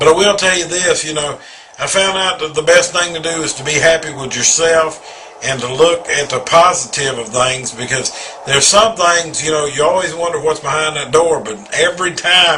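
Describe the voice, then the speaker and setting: Pitched fairly high, a man keeps a moderate speed while noticeable noise runs behind his words. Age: 40s. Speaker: contributor sharing life story. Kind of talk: personal testimony. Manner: halting.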